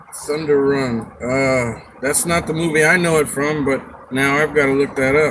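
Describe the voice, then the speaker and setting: With noticeable background noise, a man speaks at a moderate pace in a fairly high pitch and a monotone, flat intonation. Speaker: live streamer. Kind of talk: casual chat. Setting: live stream.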